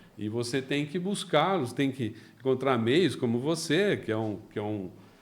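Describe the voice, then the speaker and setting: Moderate pace and lively intonation in a man's medium-pitched voice. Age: 60s. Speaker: company founder, entrepreneur. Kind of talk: interview. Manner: halting, repeats words.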